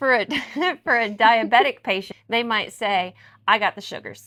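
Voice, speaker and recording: A woman with a plain, everyday voice and a fairly high pitch speaks at a fairly slow pace with lively intonation, on a very clean recording with a silent background. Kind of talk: casual talk to camera.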